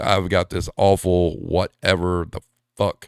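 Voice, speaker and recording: Very clean recording, silent background, and a man's very deep, low pitch. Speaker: podcast host. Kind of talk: casual chat. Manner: casual, filler-heavy.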